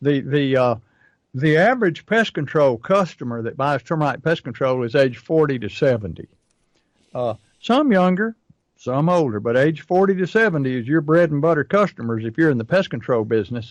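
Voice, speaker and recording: In a normal speaking voice, a man talks at a moderate pace with lively intonation and a fairly high pitch. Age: 60s. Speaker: pest control marketing coach. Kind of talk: casual chat.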